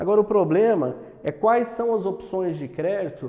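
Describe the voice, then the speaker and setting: With noticeable background noise, a man speaks at a moderate pace with a Minas Gerais accent. His intonation is lively. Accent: Minas Gerais (mineiro) accent, kept. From Brazil, Uberlândia, Minas Gerais. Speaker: entrepreneur and business educator. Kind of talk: online masterclass lecture. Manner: hesitant, many fillers and repetitions.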